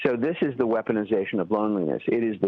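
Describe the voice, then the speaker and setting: A man speaks with a fairly low pitch. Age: 60s. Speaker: writer and activist. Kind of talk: radio interview. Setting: phone call. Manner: halting, many repeated words.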